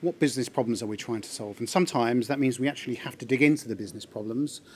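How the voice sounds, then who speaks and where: With light background noise behind him, a man talks very fast, his pitch varying in an ordinary way. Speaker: conference presenter. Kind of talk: conference talk. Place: hall.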